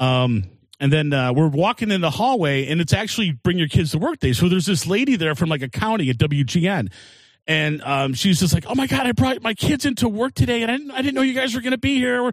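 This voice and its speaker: Talking at a very fast pace, a man with a high pitch makes very wide pitch swings. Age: 50s. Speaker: comedian. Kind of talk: casual chat.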